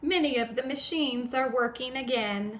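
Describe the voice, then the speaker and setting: Using a robotic, put-on character voice, a woman speaks at a high pitch and a moderate pace. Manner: robotic, flat.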